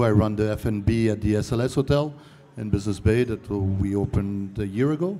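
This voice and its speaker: A man at a fairly low pitch and fairly quick pace, ordinary pitch variation, music in the background. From Canada. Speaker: hotel food and beverage manager. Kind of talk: panel discussion.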